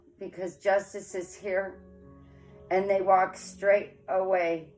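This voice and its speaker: With music playing in the background, a woman at a medium pitch speaks at a fairly slow pace. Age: 40s. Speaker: tarot reader. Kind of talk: casual tarot reading to camera. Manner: frank, forthright.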